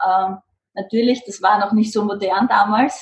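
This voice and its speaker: A somewhat breathy woman at medium pitch, with fairly even intonation and a moderate pace. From Lower Austria, Mödling. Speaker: spiritual coach and trainer. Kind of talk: interview.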